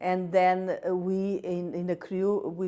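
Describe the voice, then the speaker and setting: A woman's fairly low voice in a Portuguese accent, with a dark, mellow tone. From Portugal. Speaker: patient advocate, stroke survivor. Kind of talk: interview statement. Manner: halting, many fillers.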